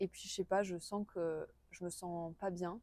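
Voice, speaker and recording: A dark, mellow tone at a fairly slow pace, with a dry, close sound and no echo. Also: woman. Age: 20s. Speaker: interviewee recounting personal experience. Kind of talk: interview testimony. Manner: halting, many hesitations.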